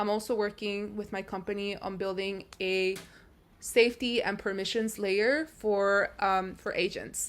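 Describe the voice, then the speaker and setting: A woman with a non-native accent, fairly high in pitch, at a moderate pace with fairly even intonation, in a very clean recording with a silent background. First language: not English. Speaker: AI research engineer, vlogger. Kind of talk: casual vlog narration.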